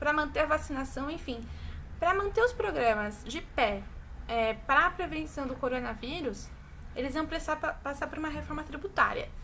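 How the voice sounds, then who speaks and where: A woman's high, bright, sharp voice, raised and projected, with lively intonation at a moderate pace and audible room echo. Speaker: teacher. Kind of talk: online class lecture.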